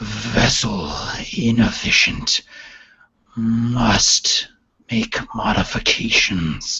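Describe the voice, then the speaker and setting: A man puts on a booming, raspy character voice at a medium pitch. He speaks very slowly, with long, frequent pauses. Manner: cold, mechanical.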